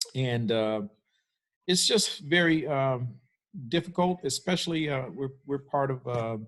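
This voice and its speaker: A man with an ordinary speaking voice, an American accent, medium pitch, ordinary pitch variation, and a moderate pace. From US Midwest, Cleveland, Ohio. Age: 60s. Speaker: pastor. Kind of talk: panel discussion.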